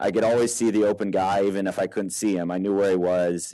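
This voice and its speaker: Over a quiet background, a man with an American accent talks at a fairly quick pace in a dark, mellow tone, with a fairly low pitch and fairly even intonation. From Texas. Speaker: paintball player and coach. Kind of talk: casual interview chat.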